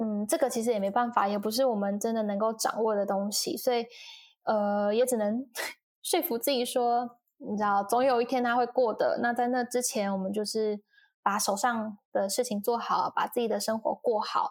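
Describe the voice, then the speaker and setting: The recording is very clean, with a silent background. An ordinary speaking voice keeps fairly even intonation at a moderate pace. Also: woman, fairly high pitch for a woman. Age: 20s. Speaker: talent manager and YouTuber. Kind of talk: casual interview.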